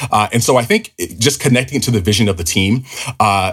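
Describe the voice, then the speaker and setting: Talking at a very fast pace with an American accent, a man uses a fairly low, somewhat breathy voice with ordinary pitch variation. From US, Southern California (Los Angeles). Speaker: finance executive. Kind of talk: interview. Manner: hesitant, many fillers.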